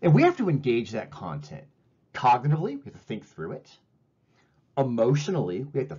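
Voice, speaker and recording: A man's fairly quick speech with lively intonation, vocal fry, big swings in loudness, and long, frequent pauses. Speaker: professor. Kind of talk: lecture. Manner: fast.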